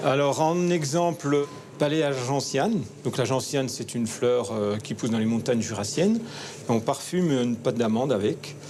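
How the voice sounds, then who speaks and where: A man speaks at a moderate pace with lively intonation while music plays in the background. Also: medium pitch for a man. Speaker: chocolatier. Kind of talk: documentary interview. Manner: hesitant, many fillers.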